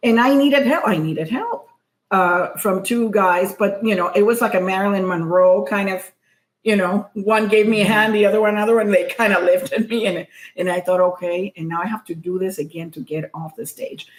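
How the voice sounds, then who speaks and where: Her pitch medium, a woman speaks at a fairly quick pace with ordinary pitch variation. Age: middle-aged. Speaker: comedian and podcast co-host. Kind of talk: casual chat. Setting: happy hour at a co-host's home. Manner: soft, not projecting.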